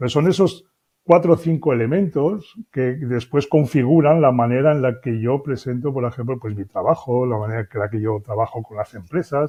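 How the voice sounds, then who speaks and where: With hardly any pauses, a man speaks at a moderate pace in a medium pitch with ordinary pitch variation. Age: 60s. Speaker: business consultant and author. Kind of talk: interview. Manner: hesitant, with fillers.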